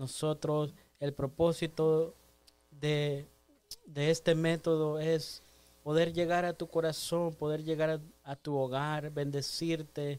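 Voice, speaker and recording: At a very slow pace, a man speaks in a monotone, flat intonation with a fairly high pitch. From El Salvador. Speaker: church lay leader. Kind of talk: exhortation.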